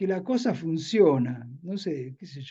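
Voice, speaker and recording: A man talks at a very slow pace in a dark, mellow tone, with very wide pitch swings. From Argentina, Buenos Aires area (San Fernando). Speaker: novelist. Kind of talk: interview Q&A. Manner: repetitive, hesitant.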